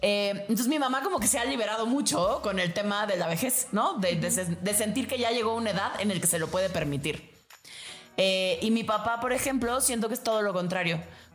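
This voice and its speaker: Talking at a fairly quick pace, a woman with a fairly high pitch and ordinary pitch variation keeps her loudness very even amid audible room echo. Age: 30s. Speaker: podcast host, therapist. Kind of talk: casual chat.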